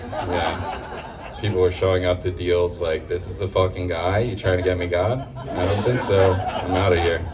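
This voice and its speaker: At a moderate pace, a man with a very deep, low pitch and ordinary pitch variation talks amid noticeable background noise and audible room echo. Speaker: stand-up comedian. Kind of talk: stand-up. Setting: stage with audience. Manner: halting.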